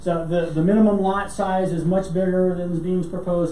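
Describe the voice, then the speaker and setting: Noticeable background noise beneath a fairly quick pace. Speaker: city planning staff presenter. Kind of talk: staff presentation at council meeting. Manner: halting with fillers and repeats.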